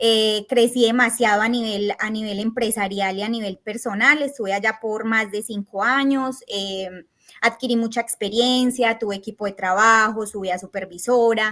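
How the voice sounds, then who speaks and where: Fairly even intonation and a moderate speed in an ordinary speaking voice. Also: woman, fairly high pitch for a woman. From Colombia, Antioquia. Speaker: tax agent. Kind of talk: interview. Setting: podcast.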